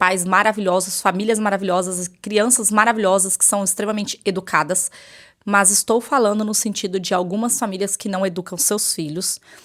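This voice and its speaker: In a very clean recording with a silent background, a woman of medium pitch speaks at a fairly quick pace with fairly even intonation. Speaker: teacher and vlogger. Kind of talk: personal vlog monologue. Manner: fast.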